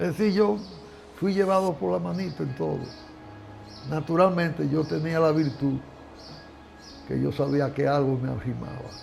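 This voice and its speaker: With music in the background and audible room echo, a man at a fairly high pitch talks at a moderate pace, using very wide pitch swings and long, frequent pauses. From Dominican Republic, San Francisco de Macorís. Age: 80s+. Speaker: lawyer and cattle rancher. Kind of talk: interview. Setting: ranch.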